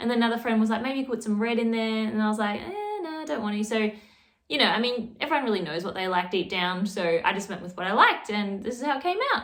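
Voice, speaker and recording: A woman with an Australian accent talks at a very fast pace, her pitch fairly high with ordinary variation, over noticeable background noise. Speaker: knitting youtuber. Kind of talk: casual vlog. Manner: chatty, casual.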